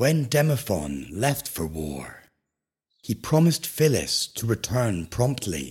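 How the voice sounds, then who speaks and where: In a very clean recording with a silent background, a man speaks very slowly in a soothing, calm tone with vocal fry and very wide pitch swings. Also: medium pitch for a man. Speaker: sleep podcast narrator. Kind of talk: bedtime story. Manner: slow, soothing and hushed, with calm, gentle pacing; formal, poetic and dreamy.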